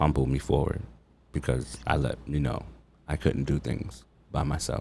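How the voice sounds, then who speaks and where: A man speaks at a fairly slow pace in a very deep, low voice over noticeable background noise. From Long Island, New York. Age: 40s. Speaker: chef. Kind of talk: casual interview. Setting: studio.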